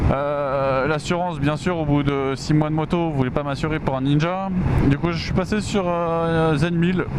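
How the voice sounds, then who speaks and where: A man speaks fairly slowly at a fairly high pitch with fairly even intonation. Noticeable background noise and audible room echo fill the recording. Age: 20s. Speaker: motorcycle vlogger. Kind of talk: motovlog while riding. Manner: hesitant, many fillers.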